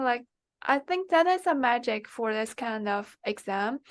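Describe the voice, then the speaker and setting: A woman speaks at a fairly slow pace with a Chinese accent, her pitch swinging very widely against a quiet background. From China. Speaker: MBA applicant, former student. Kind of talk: interview. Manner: halting.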